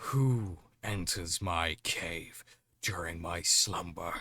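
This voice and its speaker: In a put-on character voice with a very deep, low pitch, the speaker shouts and bellows at a very slow pace in a very clean recording with a silent background. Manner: bellowing, shouting.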